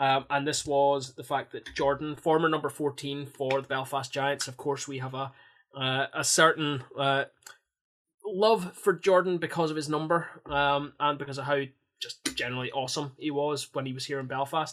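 A man with a plain, everyday voice, fairly high pitch, fairly even intonation and a moderate pace. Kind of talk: casual podcast banter, a fan's play-by-play retelling of a highlight goal. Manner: punchy, mimicking the scorer's cocky attitude.

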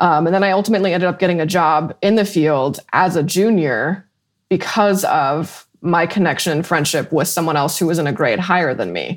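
Very clean with a silent background, the recording carries a woman's plain, everyday voice at a fairly low pitch. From Colorado, Weld County. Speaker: emergency management consultant and meteorologist. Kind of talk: interview.

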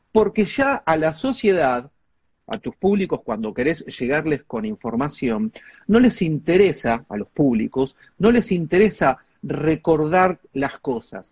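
A high-pitched man in an Argentine accent, with very wide pitch swings at a fairly slow pace. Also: dry, close sound with no echo. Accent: Rioplatense Argentine Spanish. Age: 50s. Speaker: communication expert and lecturer. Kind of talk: interview. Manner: animated.

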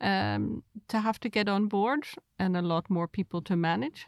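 A woman with an unremarkable speaking voice talks at a fairly slow pace, with a medium pitch and ordinary pitch variation. The recording is very clean with a silent background, and the sound is dry and close with no echo. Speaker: podcast co-host interviewer. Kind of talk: interview questions.

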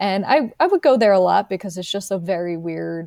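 Her voice is fairly low for a woman, with a dark, mellow tone and a dry, close sound with no echo. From US, Delaware County near Philadelphia. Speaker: author and librarian. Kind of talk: interview conversation. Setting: remote call from home.

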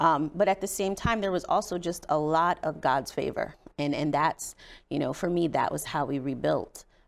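The recording is very clean and the background silent. A plain, everyday voice keeps a moderate pace, its pitch varying in an ordinary way. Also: woman, fairly low pitch for a woman. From Indiana, US Midwest. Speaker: state legislator and domestic violence advocate. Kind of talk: interview testimony.

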